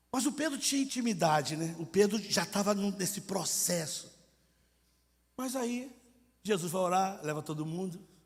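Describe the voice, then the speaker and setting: A high-pitched man with lively intonation at a moderate pace, long, frequent pauses and audible room echo. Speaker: missionary preacher. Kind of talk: sermon. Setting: church congress with audience. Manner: animated, acts out dialogue; colloquial, informal.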